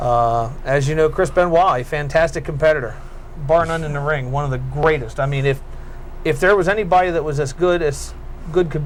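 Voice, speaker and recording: A man talks at a fairly quick pace in a fairly high pitch. Noticeable background noise sits behind him. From York, Pennsylvania, USA. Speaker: cable access wrestling show host. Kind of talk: call-in radio-style show hosting.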